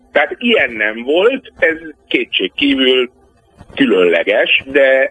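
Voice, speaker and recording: A man speaks over noticeable background noise. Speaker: political scientist. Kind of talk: radio interview. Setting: phone call.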